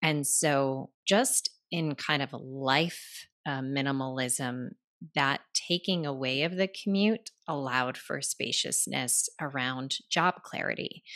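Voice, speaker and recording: A woman speaks very slowly with an American accent and a very deep, low pitch. Her pitch varies in an ordinary way over a quiet background. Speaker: writing coach and author. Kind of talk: interview, storytelling.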